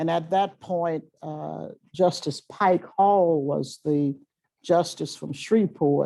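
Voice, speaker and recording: A woman speaks very slowly in a New Orleans accent, her pitch fairly low with ordinary variation. The background is quiet. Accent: Southern US (New Orleans). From US South, Louisiana. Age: 70s. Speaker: retired chief justice. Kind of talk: public talk to law students. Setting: lecture hall with audience. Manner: halting, with frequent fillers.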